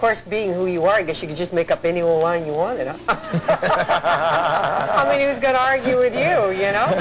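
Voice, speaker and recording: With very wide pitch swings around a medium pitch, a woman talks at a moderate pace with hardly any pauses over noticeable background noise. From southern England. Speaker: talk show host. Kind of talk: talk show interview. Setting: TV studio.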